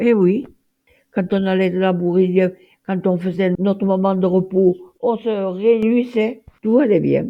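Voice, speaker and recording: A woman speaks at a medium pitch with fairly even intonation. Her pace is very slow. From France, Auvergne (Puy-de-Dôme). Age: 90s. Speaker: retired farmer. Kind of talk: testimony interview. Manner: halting.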